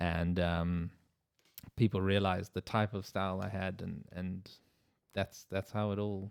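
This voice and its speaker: A man with a very deep, low pitch speaks in a South African accent at a fairly slow pace, with long, frequent pauses. His intonation is monotone and flat, and the sound is dry and close with no echo. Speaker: wedding photographer, podcast co-host. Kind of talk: casual chat.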